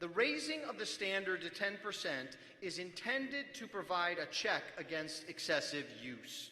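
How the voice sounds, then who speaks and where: Against noticeable background noise, a man uses a high, raised and projected voice with very wide pitch swings. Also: moderate pace. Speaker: pastor speaking at church assembly. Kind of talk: formal debate speech. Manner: formal; raised, speaking up.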